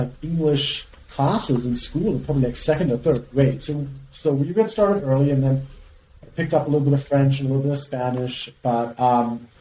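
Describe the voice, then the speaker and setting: A man with a German accent, fairly high pitch, ordinary pitch variation and a fairly quick pace. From Germany (Frankfurt). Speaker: company CEO. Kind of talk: podcast interview. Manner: halting, many fillers.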